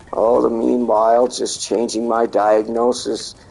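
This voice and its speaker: A man's medium-pitched, monotone delivery with flat intonation at a fairly slow pace, with noticeable background noise. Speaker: gamer streamer. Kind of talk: casual chat. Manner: halting.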